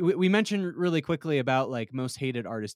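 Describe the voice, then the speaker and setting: A man's plain, everyday voice, fairly high in pitch with lively intonation, dry and close with no echo on a very clean recording against a silent background. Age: 20s. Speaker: podcast co-host. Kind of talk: casual chat.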